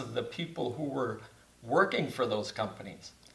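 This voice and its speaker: With an Upper Midwest accent, a man speaks at a medium pitch with ordinary pitch variation amid noticeable background noise. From Wisconsin (Beaver Dam). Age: 70s. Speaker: church facility manager. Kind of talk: casual interview.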